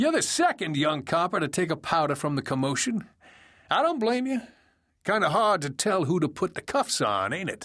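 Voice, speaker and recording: Putting on a character voice, a man cackles at a high pitch with very wide pitch swings, moving at a moderate pace over a quiet background. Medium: read story. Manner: folksy, teasing, cackling.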